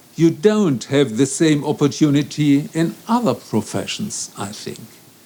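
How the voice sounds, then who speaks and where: Noticeable background noise accompanies a man with a German accent who speaks slowly-ish, at a fairly slow pace, with a fairly high pitch. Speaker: law professor. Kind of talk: conference speech. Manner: formal.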